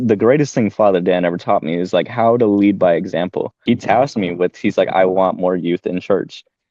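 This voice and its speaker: A man's normal speaking voice, fairly low in pitch, with ordinary pitch variation, a fairly quick pace and hardly any pauses. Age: 20s. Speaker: former youth group leader. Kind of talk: casual chat.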